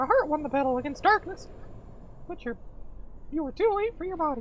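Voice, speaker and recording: Someone does a put-on character voice at a high pitch, talking very fast over clear background noise. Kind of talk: comic overacting. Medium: game stream. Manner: earnest, kindly.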